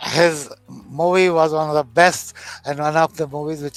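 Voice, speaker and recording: A man speaks with a fairly high pitch at a moderate pace. His intonation stays flat and monotone. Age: 60s. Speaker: business school president. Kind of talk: interview. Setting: online video call.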